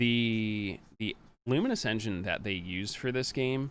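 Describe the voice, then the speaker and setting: A man with an unremarkable speaking voice talks fairly slowly at a medium pitch, with ordinary pitch variation. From Pennsylvania, US. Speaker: speedrunner. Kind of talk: live gameplay commentary. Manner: casual, chatty.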